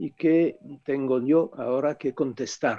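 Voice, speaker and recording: The speaker talks at a very slow pace with a French accent. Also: man. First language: French (speaking Spanish). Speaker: author, philosopher. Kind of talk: book presentation talk.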